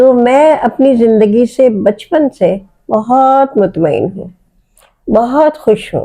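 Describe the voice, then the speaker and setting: A woman speaks with a dark, mellow tone, lively intonation and a fairly high pitch. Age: 70s. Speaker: writer. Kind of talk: interview.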